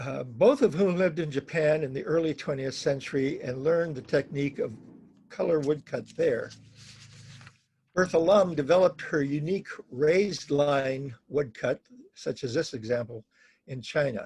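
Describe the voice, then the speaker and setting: Somewhat breathy, a man with fairly high pitch talks at a moderate pace with ordinary pitch variation and long, frequent pauses. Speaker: print dealer. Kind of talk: slide presentation. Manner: halting, self-correcting.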